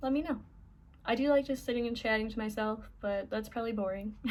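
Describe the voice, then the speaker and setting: The woman's voice is somewhat breathy, with fairly even intonation. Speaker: vlogger. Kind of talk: casual chat. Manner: halting.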